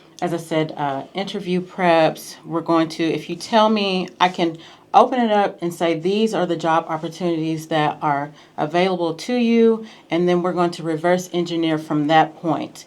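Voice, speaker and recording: A woman with an American accent uses a normal speaking voice at a fairly low pitch and moderate pace. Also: ordinary pitch variation. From US Midwest, small town in Missouri. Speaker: clinical research coach. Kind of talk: radio interview. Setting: radio studio.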